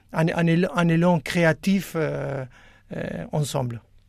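A man speaks very slowly at a fairly high pitch. The recording is very clean, with a silent background. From Argentina. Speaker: juggler and choreographer. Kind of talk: radio interview. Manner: halting.

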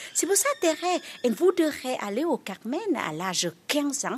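A woman with a Vietnamese accent speaks at a fairly slow pace. Her pitch swings very widely. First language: Vietnamese (speaking French). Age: young. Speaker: nun and pilgrimage guide. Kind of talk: interview. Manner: halting.

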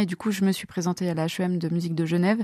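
Over a very clean recording with a silent background, a woman with a medium pitch talks at a fairly quick pace in a monotone, flat intonation. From France, Loire (Montbrison). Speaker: soprano singer and singing teacher. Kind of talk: interview. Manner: hesitant, frequent fillers.

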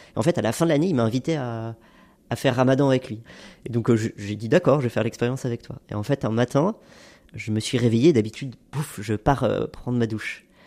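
A man's dark, mellow voice at medium pitch and a fairly quick pace, in a very clean recording with a silent background. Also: ordinary pitch variation. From France, Haute-Savoie. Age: 30s. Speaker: NGO climate advocate. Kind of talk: testimony.

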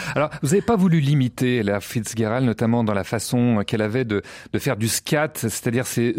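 A man with an unremarkable speaking voice talks at a fairly quick pace, medium in pitch with ordinary pitch variation. The sound is dry and close with no echo, in a very clean recording against a silent background. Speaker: radio host. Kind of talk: radio interview. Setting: studio.

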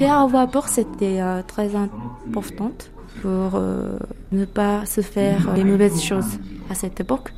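Noticeable background noise runs under a woman with a Japanese accent who speaks at a medium pitch and a very slow pace, with lively intonation and long, frequent pauses. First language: Japanese (speaking French). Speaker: local guide. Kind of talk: casual interview. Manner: halting.

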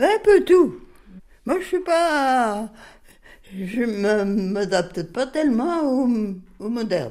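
Very slow and marked by long, frequent pauses, the speech moves through very wide pitch swings. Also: woman, high pitch for a woman. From France, Bresse (Viriat, Ain). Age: 80s+. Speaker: retired farmer. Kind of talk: interview. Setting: home kitchen.

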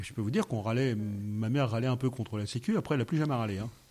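The speech is very fast and somewhat breathy. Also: man. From France, Yvelines (Paris region). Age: 50s. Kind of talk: radio interview. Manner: halting, repeats words.

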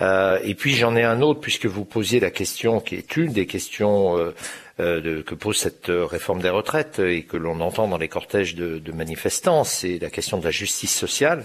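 Lively intonation carries speech that moves at a middling speed. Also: man, fairly low pitch for a man. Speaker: magazine editor-in-chief. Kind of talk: radio interview. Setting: remote digital link.

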